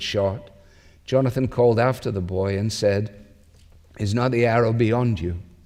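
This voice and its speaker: A man's fairly low voice with a Scottish accent, dark and mellow in tone, with fairly even intonation at a moderate pace. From Scotland. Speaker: pastor. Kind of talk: sermon.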